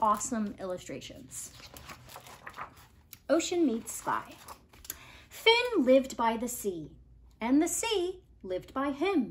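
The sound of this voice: Very wide pitch swings at a slow pace, broken by long, frequent pauses. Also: woman, high pitch for a woman.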